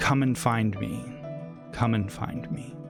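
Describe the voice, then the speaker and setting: A booming, put-on character voice moves at a fairly slow pace. Clear music plays in the background. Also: man, medium pitch for a man. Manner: eerie, beckoning.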